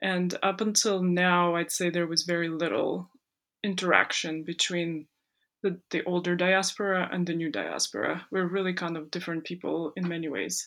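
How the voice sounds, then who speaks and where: A woman speaks in a fairly low pitch at a moderate pace, her intonation flat and monotone. The recording is very clean, with a silent background. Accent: slight Ukrainian. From Ukraine, then Canada from age 12. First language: Ukrainian. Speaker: composer and singer. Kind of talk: interview.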